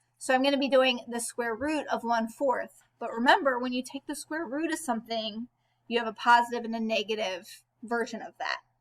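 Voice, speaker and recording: A woman speaks at a high pitch and a fairly quick pace. Her pitch varies in an ordinary way while her loudness swings widely. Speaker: math teacher. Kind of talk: tutorial.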